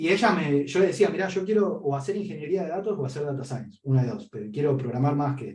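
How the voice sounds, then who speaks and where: Very fast speech in an Argentine accent, lively in intonation, with a dark, mellow tone. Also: man. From Argentina, Patagonia (San Martín de los Andes). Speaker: data analyst, podcast interviewee. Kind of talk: interview conversation. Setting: podcast interview.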